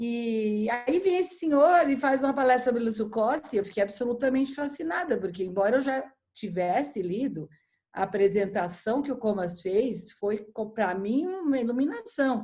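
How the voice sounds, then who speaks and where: Her voice dark and mellow yet fairly high, a woman speaks at a moderate pace with lively intonation in a São Paulo accent. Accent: paulista. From São Paulo, Brazil. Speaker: architecture critic and editor. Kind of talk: casual chat. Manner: halting with repeated false starts.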